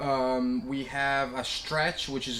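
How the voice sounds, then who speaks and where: Noticeable noise sits in the background. A man talks in a medium register. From Italy (Vicenza). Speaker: company managing director. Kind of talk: interview about products. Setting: company office.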